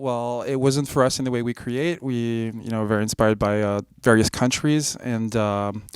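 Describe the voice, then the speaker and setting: In a very clean recording with a silent background, a man with a French accent speaks at a medium pitch and a moderate pace. He barely pauses and keeps his intonation fairly even. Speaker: electronic musician. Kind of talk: interview. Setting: music festival.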